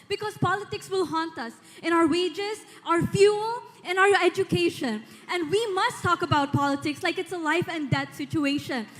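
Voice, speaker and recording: Noticeable background noise sits behind the speaker. A woman talks at an extremely high pitch with lively intonation. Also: moderate pace. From Philippines. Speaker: beauty pageant contestant. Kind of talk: pageant Q&A answer. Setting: stage with audience.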